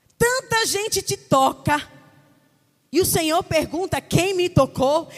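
A woman's extremely high voice with lively intonation at a fairly slow pace. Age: 30s. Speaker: preacher. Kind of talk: sermon. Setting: church.

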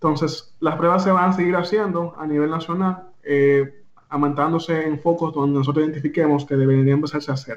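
A man with a normal speaking voice talks at a fairly quick pace in a fairly high pitch, keeping his intonation fairly even with hardly any pauses. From Dominican Republic. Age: young. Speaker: technology official and AI entrepreneur. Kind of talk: radio interview.

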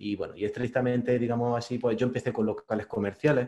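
A man's dark, mellow voice at medium pitch, with a Spanish accent and ordinary pitch variation. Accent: Peninsular Spanish. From Spain. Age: 40s. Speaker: investor and YouTuber. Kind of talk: interview.

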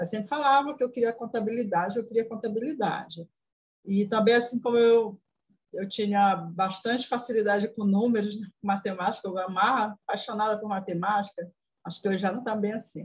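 A somewhat breathy woman's voice, fairly high in pitch. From Brazil, interior of Pará. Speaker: accounting student. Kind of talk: interview.

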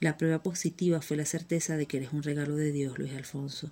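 A woman's very deep, low voice in a Venezuelan accent, dark and mellow in tone, monotone and flat, at a moderate pace, on a very clean recording with a silent background. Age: 30s. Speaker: migrant sharing her story. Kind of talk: personal testimony, scripted narration.

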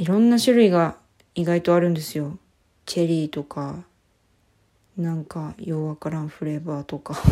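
Pausing often and at length, a woman with a fairly low voice talks at a moderate pace with ordinary pitch variation. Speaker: podcast co-host. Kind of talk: casual solo talk. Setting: recording in a washroom at home. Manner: soft, listless, not crisp. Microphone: echoey room sound.

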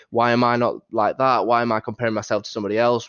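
Someone with a Yorkshire accent talks at a very fast pace. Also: man. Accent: Yorkshire, northern English. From Doncaster, northern England. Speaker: Football Index trader, guest. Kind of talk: casual interview chat.

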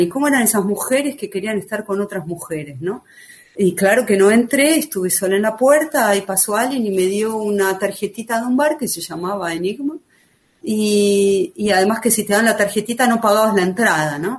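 This woman has an unremarkable speaking voice and lively intonation. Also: medium pitch for a woman, fairly quick pace. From Argentina, Buenos Aires. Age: 50s. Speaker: writer and former activist. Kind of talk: podcast testimony.

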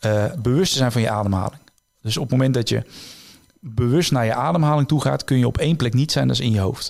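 Speaking at a fairly quick pace, a man with an unremarkable speaking voice keeps to a medium pitch with ordinary pitch variation. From Netherlands, North Brabant (Tilburg area). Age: 30s. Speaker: illusionist and author. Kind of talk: interview.

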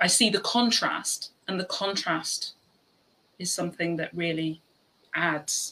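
A woman speaks in an Irish accent with a bright, sharp tone and fairly low pitch. Her delivery is very slow, with fairly even intonation and long, frequent pauses. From Ireland. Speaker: podcast host. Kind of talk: casual chat.

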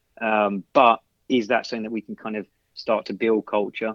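With an English accent, a man speaks fairly quickly in a fairly low pitch and a monotone, flat intonation. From London, England. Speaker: soccer coach. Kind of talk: casual interview. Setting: podcast.

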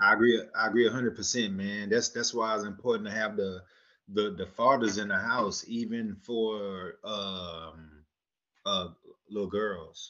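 This man has a plain, everyday voice with a fairly low pitch. He speaks at a fairly slow pace with fairly even intonation. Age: 30s. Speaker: podcast co-host. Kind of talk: casual chat.

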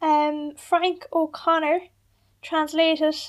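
In a very clean recording with a silent background, a woman with an Irish accent speaks in an extremely high pitch with monotone, flat intonation. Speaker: radio host. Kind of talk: casual chat.

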